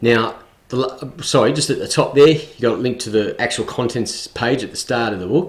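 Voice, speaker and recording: This man's voice is somewhat breathy, at a medium pitch with ordinary pitch variation. He speaks with an Australian accent. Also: moderate pace. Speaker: tutorial video creator. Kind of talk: screen recording tutorial. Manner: hesitant, many fillers.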